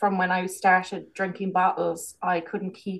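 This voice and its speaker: This woman speaks with a Kerry accent. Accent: Irish, Kerry. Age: 40s. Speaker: business owner and holistic healer. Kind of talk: casual interview chat.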